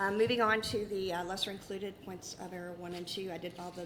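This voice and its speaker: A woman with an American accent talks at a very fast pace in a fairly low pitch. Her intonation is monotone and flat, and audible room echo surrounds her. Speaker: prosecutor arguing appeal. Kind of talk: appellate oral argument. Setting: courtroom.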